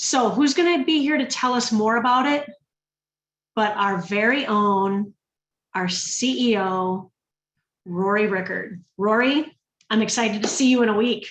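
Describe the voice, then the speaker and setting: With a Minnesotan accent, the speaker sounds animated, leaves long, frequent pauses, and keeps a very even loudness. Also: woman, fairly high pitch for a woman, ordinary pitch variation, fairly slow pace. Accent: Minnesota. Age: 50s. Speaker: direct sales ambassador. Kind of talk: sales pitch.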